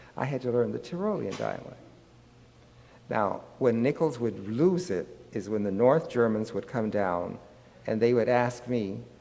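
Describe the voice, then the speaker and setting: Amid audible room echo, a man with an American accent and a dark, mellow tone speaks fairly slowly at a medium pitch, using lively intonation and long, frequent pauses. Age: 90s. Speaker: psychologist. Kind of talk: lecture.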